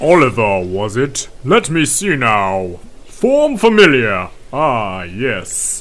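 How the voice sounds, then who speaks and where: Someone uses a put-on character voice and talks at a very slow pace. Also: man, medium pitch for a man. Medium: game stream. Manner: warm, grandfatherly, unhurried.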